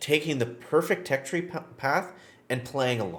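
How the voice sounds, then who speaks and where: This man has a fairly high pitch and a voice with vocal fry. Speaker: gaming YouTuber. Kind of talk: gameplay tutorial. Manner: fast; casual, filler-heavy.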